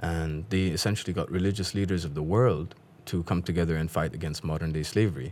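Very deep and low, a man's voice is heard. He speaks at a very fast pace. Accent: Afghan. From Pakistan. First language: Dari. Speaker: guest who does accent impressions. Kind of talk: casual chat. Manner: animated.

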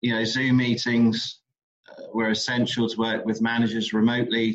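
Monotone and flat, a man speaks in an English accent. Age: 30s. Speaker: visitor attraction manager. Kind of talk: interview.

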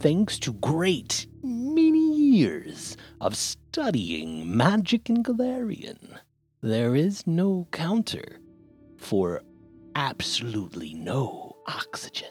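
A put-on character voice at a very slow pace, with faint music in the background. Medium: actual play. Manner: haughty, salesy.

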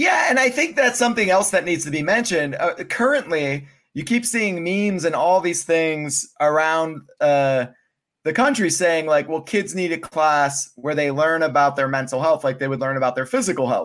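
With an American accent, a man speaks at a fairly high pitch and a moderate pace, using lively intonation and an unremarkable speaking voice. The recording is very clean, the background silent. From Pennsylvania. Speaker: mental health advocate. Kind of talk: casual chat.

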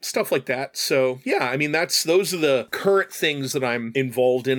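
A man speaks fairly quickly at a medium pitch in a plain, everyday voice. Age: 40s. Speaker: streamer and guest co-host. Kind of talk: casual chat. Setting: studio.

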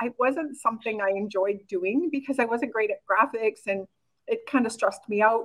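With a Canadian accent and a plain, everyday voice, a woman speaks at a fairly high pitch and a fairly quick pace, her intonation lively. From Canada, rural Saskatchewan. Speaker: online business coach. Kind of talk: interview.

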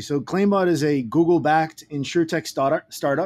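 Someone with a Puerto Rican accent talks at a fairly quick pace with ordinary pitch variation on a very clean recording with a silent background. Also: man. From Puerto Rico. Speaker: tech startup founder. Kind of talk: podcast interview.

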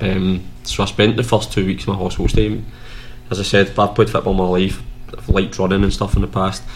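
Against noticeable background noise, a man talks at a fairly quick pace with a fairly low pitch. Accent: West of Scotland. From West of Scotland. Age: 30s. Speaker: former footballer, mental health group founder. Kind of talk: casual chat.

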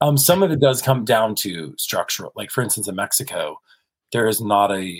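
With an American accent, a man in a plain, everyday voice speaks at a moderate pace and medium pitch, his intonation lively. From US South (South Carolina and Kentucky). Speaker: cinematographer. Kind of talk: casual interview.

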